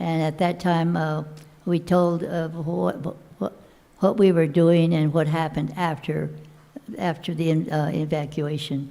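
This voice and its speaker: Speaking at a fairly slow pace, a woman with an American accent has a very deep, low pitch and fairly even intonation. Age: 90s. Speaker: former internment camp internee. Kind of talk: panel discussion testimony. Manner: halting, many fillers and repeats.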